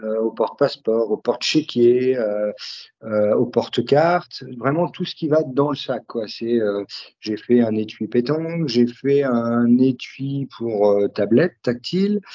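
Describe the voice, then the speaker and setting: A man speaks very slowly at medium pitch. His pitch varies in an ordinary way. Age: 40s. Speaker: leather craftsman and brand founder. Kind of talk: casual interview. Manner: halting, many hesitations.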